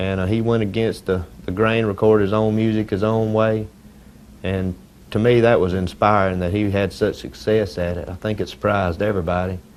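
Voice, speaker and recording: Speaking at a fairly quick pace, a man with a fairly low voice keeps his intonation fairly even. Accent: Southern US. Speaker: country singer. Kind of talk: interview. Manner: halting.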